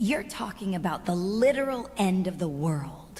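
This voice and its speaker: A put-on character voice that sounds female, medium in pitch, moves at a moderate pace against clear background noise. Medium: video game.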